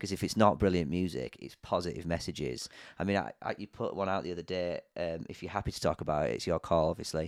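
A man with a very deep, low pitch and vocal fry talks at a very fast pace with ordinary pitch variation. The recording is very clean with a silent background and a dry, close sound with no echo. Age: 30s. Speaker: podcast host. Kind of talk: casual interview chat. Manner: warm, enthusiastic.

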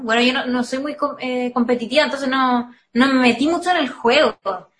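A woman with a Chilean accent speaks at a high pitch with fairly even intonation. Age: 20s. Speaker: singer and psychology student. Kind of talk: casual interview.

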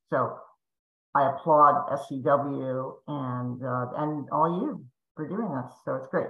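A woman's very deep, low voice at a very slow pace, with ordinary pitch variation and audible room echo. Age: 50s. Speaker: fitness music company founder. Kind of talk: webinar panel discussion.

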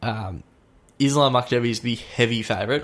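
A man with an Australian accent speaks at a fairly quick pace in a medium pitch, with fairly even intonation. The recording is very clean, with a silent background. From Melbourne, Australia. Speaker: sports podcast host. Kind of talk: casual chat. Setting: studio.

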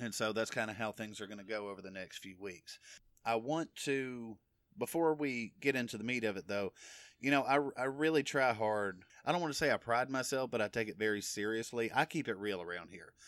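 An unremarkable speaking voice, this man's has an American accent, a medium pitch, ordinary pitch variation and a fairly quick pace, on a very clean recording with a silent background. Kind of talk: solo religious podcast teaching. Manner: casual, conversational with fillers. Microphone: new recording equipment.

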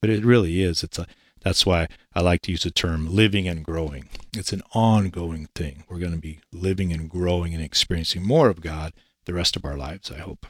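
A man with a Pacific Northwest accent speaks at a fairly quick pace in a very deep, low voice with fairly even intonation. The sound is dry and close with no echo, on a very clean recording with a silent background. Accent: Pacific Northwest American. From Eastern Washington, US. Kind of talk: interview.

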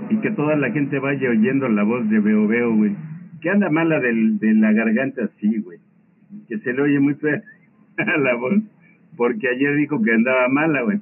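A man's medium-pitched voice with a Mexican accent, lively intonation, a fairly slow pace and long, frequent pauses. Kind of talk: casual chat.

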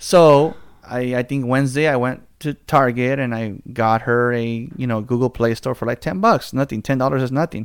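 Using a normal speaking voice with an American accent, a man talks at a moderate pace and medium pitch, with fairly even intonation and hardly any pauses. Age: 30s. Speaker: podcast host. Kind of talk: casual chat.

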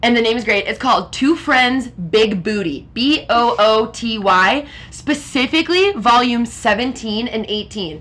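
With an American accent, a woman speaks at a fairly slow pace in a fairly high pitch, her tone animated and her intonation lively. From Minnesota, Minneapolis area. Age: 20s. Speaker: podcast host. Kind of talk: casual chat. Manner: loud.

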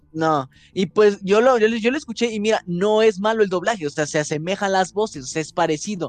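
In a Mexican accent, a man talks at a fairly quick pace with a high pitch. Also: ordinary pitch variation. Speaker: podcast co-host, actor. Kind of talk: casual chat.

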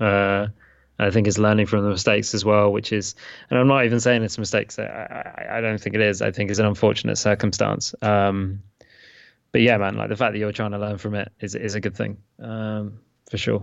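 Speaking in a British accent, a man keeps a monotone, flat intonation at a fairly low pitch and moderate pace. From England. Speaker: podcast co-host and father. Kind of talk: casual chat. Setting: remote call. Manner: self-described poor enunciation.

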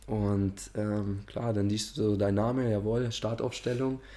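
A man speaks at a very slow pace in a fairly low voice, his intonation fairly even. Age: 20s. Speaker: amateur footballer and investment adviser. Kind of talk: casual interview.

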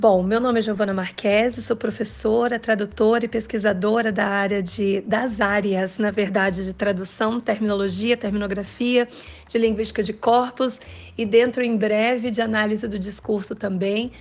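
In a monotone, flat delivery, a woman with a fairly high pitch speaks at a moderate pace. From Paraná, Brazil (Londrina). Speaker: translator and university teacher. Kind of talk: interview.

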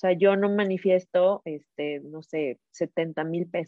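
The intonation is fairly even. It is an ordinary speaking voice. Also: woman. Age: 30s. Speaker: entrepreneur and empowerment coach. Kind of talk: casual interview chat.

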